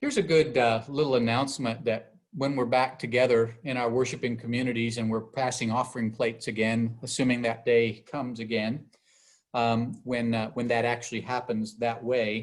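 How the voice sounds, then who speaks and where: In a very clean recording with a silent background, a man of medium pitch talks at a moderate pace with monotone, flat intonation. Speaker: bishop teaching Bible study. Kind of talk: Bible study lecture.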